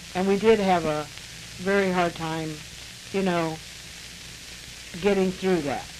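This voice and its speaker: With audible room echo and noticeable background noise, a woman speaks at a fairly slow pace in fairly even intonation, taking long, frequent pauses. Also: medium pitch for a woman. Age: 70s. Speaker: interviewee recalling life story. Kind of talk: oral history interview. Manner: hesitant with fillers.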